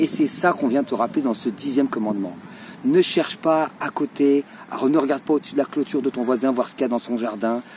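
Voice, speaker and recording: A man's pitch swings very widely as noticeable background noise runs beneath him. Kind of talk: religious talk to camera. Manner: animated.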